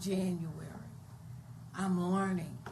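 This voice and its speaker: A woman speaks in a Virginia accent, medium in pitch, at a fairly slow pace. Her intonation is fairly even, and room echo is audible. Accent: Virginia Southern American. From Hopewell, Virginia, US South. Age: 60s. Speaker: city council member. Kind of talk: council meeting discussion.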